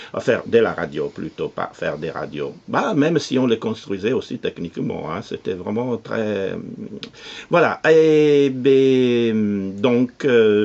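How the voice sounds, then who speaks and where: Over noticeable background noise, a man with an Italian accent speaks very slowly in a medium pitch, his intonation lively. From Italy, Nettuno near Rome. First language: Italian (speaking French). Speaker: radio producer and cultural association president. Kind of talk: interview. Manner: halting, many hesitations.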